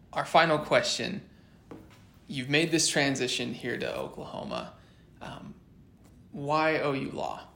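A man talks at a fairly slow pace. His speech is broken by long, frequent pauses. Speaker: law student podcast host. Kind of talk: interview.

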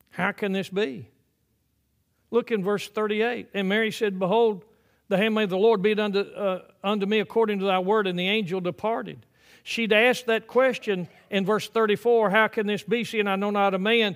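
In an American accent, a man speaks at a high pitch. His intonation stays fairly even. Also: moderate pace. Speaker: pastor. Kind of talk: sermon. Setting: church.

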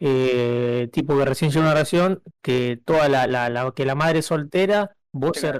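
A man talks in a normal speaking voice. His intonation stays fairly even. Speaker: podcast co-host. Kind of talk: casual chat.

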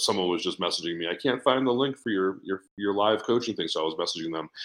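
Talking at a very fast pace, a man with an American accent uses a fairly low pitch and ordinary pitch variation. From New England, Boston. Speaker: business coach. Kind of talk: podcast interview. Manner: fast talker.

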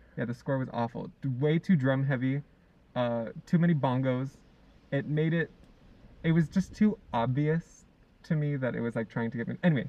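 Moderate pace, ordinary pitch variation, and long, frequent pauses. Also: man. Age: 20s. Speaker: podcast co-host. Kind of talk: casual chat.

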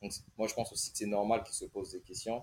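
A man speaks in a fairly low pitch. His voice is somewhat breathy. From Congo. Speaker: engineering consultant. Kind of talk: casual interview.

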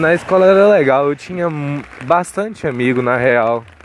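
Noticeable noise underlies the recording as a man talks at a moderate speed. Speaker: podcaster. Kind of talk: casual monologue. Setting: outdoors in rain. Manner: rambling.

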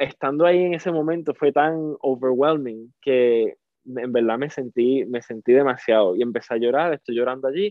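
A man speaks in a Puerto Rican accent at a moderate pace, with hardly any pauses. His medium pitch shows ordinary variation. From Puerto Rico (Salinas). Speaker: theatre actor. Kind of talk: interview.

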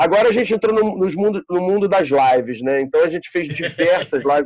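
A man with a Carioca accent speaks at a high pitch. His intonation is lively and his pace moderate. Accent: carioca Brazilian Portuguese. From Rio de Janeiro, Brazil. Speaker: bar and music venue owner. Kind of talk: casual interview chat.

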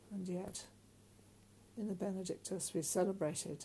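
Speaking at a medium pitch in a British accent, a woman has a dark, mellow tone, a solemn tone, monotone, flat intonation and vocal fry. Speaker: prayer leader. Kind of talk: fervent intercessory prayer, led aloud. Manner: earnest, solemn, imploring.

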